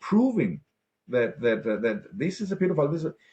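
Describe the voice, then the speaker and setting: A man with a fairly high pitch speaks with vocal fry. His voice makes very wide pitch swings. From Denmark. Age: 60s. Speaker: political activist and ex-banker. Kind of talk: interview. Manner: animated.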